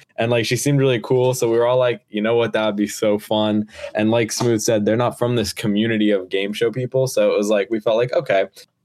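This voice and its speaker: A man with an American accent speaks very fast at medium pitch, with hardly any pauses. His intonation is monotone and flat, and his loudness is very even. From New Jersey. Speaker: podcast co-host and production crew, lifeguard. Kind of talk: casual podcast chat.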